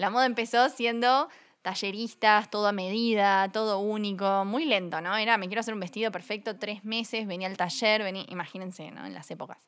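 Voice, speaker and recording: A woman speaks with a Uruguayan accent at medium pitch. The recording is very clean, with a silent background. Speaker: fashion company co-founder. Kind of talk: casual interview.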